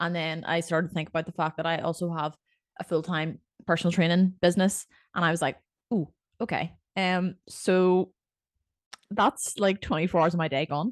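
Spoken at a moderate pace with a Northern Irish accent, the voice has long, frequent pauses and fairly even intonation, recorded dry and close with no echo against a quiet background. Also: woman, fairly low pitch for a woman. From Northern Ireland. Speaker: podcast co-host and personal trainer. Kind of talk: casual chat.

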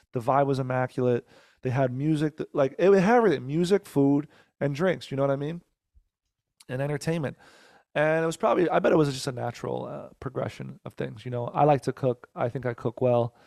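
Talking at a fairly quick pace, a man with an American accent and an ordinary speaking voice has a fairly high pitch, ordinary pitch variation and a dry, close sound with no echo. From New Jersey. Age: 30s. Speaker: comedian and musician. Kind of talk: casual interview chat. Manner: fast, with many fillers and restarts.

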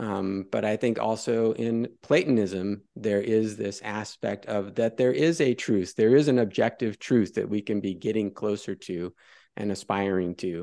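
A man speaks with a dark, mellow tone. He barely pauses against a quiet background. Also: fairly low pitch for a man, ordinary pitch variation, fairly slow pace. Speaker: academic discussion participant. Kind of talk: philosophical discussion.

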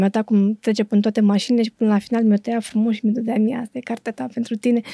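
A woman with a fairly high pitch and a dark, mellow tone talks very fast in a flat monotone, recorded dry and close with no echo. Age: 40s. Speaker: book critic and editor. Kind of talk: casual chat.

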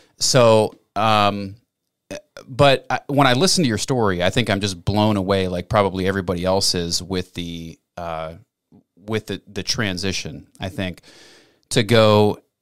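This is an ordinary speaking voice with ordinary pitch variation at a fairly slow pace. The recording is very clean, with a silent background. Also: man. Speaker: podcast host. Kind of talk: interview. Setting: studio.

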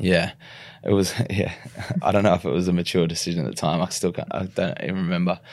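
A man with an Australian accent talks at a very fast pace. His very deep, low voice stays monotone and flat. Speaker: retired rugby league player. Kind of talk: podcast interview. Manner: halting.

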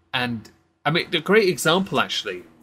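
Speaking in a West Country accent, a man has a bright, sharp tone. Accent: southwest English, West Country. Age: 30s. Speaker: stream host. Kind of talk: casual chat, political commentary livestream. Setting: online livestream. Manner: joking, casual.

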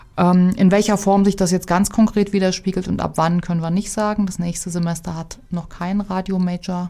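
A woman talks at a medium pitch and a moderate pace, with hardly any pauses. Her tone is dark and mellow, her intonation monotone and flat. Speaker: degree program director. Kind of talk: interview. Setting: studio.

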